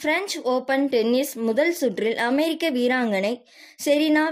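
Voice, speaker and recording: A woman's high voice with lively intonation. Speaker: news reader. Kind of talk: news headlines read.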